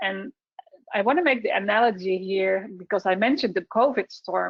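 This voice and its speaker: A woman with a Dutch accent speaks at a moderate pace. Her pitch is medium, with ordinary variation. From Netherlands. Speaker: software solutions specialist. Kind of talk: webinar presentation. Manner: halting.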